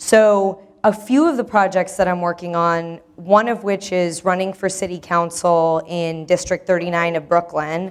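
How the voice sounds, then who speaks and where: A woman's fairly low voice at a moderate pace, fairly even in intonation, with hardly any pauses. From Iranian American, New York. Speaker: moderator and performance artist. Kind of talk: workshop introduction. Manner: loud.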